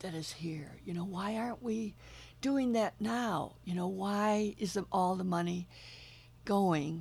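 Somewhat breathy, a woman at medium pitch talks at a very slow pace with ordinary pitch variation. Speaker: co-founder of a community arts school. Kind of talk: interview.

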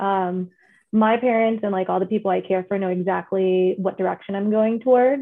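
A woman's medium-pitched voice in an American accent, at a moderate pace with fairly even intonation. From California, first five years in the Philippines. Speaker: podcast co-host, executive assistant. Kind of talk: quiz game hosting; casual chat.

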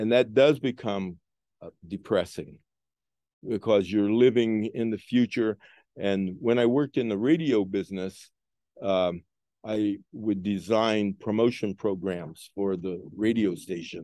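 A man's fairly low, dark, mellow voice at a fairly slow pace, with ordinary pitch variation and a quiet background. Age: 70s. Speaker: retired radio manager and former DJ. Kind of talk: casual chat. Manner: reflective.

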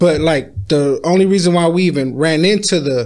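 A man's normal speaking voice with an American accent, fairly high in pitch, with ordinary pitch variation and a moderate pace. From San Diego, California. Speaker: rapper. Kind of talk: casual chat.

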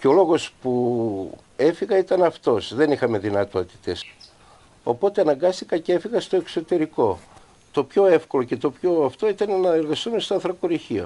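At a moderate pace, a man with a high pitch speaks with lively intonation and long, frequent pauses. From Greece, Samothrace. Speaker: former coal miner. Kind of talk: testimony.

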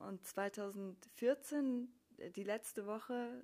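A woman's medium-pitched, dark, mellow voice with ordinary pitch variation. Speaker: emigrant working as university teacher. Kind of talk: interview.

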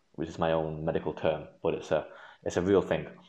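A man with a very deep, low voice and a Manchester accent. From northern England, Manchester. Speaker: medical student. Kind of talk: interview. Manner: halting.

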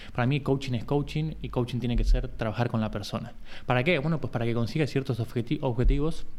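A man at a very fast pace, medium pitch, with vocal fry. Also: fairly even intonation. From Argentina, Buenos Aires. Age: 40s. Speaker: sports coach. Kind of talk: casual chat. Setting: remote video call.

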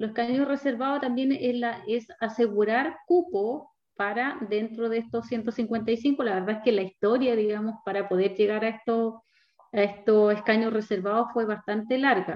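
A fairly high female voice with ordinary pitch variation. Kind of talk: interview. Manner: hesitant, with many fillers.

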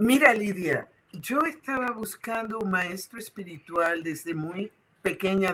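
A woman with a normal speaking voice and lively intonation. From Puerto Rico. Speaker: Sufi spiritual leader. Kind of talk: interview.

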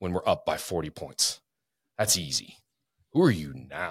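A man with an American accent, very deep and low in pitch, with a bright, sharp tone at a moderate pace, in a very clean recording with a silent background. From Spokane, Washington. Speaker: police officer and realtor, youth sports coach. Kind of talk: casual chat.

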